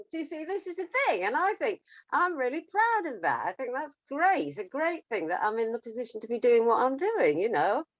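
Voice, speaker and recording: A woman with an English accent speaks at a high pitch. Her pitch swings very widely. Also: fairly quick pace. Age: 70s. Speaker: singer. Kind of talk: casual interview. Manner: halting.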